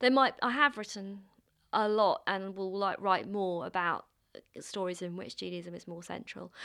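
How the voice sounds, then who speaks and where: A woman with a London accent speaks at a medium pitch and a moderate pace, her tone bright and sharp. Her pitch varies in an ordinary way, her loudness swings widely, and the recording is very clean with a silent background. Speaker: playwright. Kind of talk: interview.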